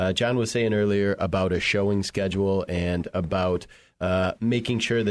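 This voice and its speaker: A man with a plain, everyday voice at a moderate pace, fairly low pitch and fairly even intonation, over a quiet background. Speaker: brokerage president. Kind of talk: professional discussion.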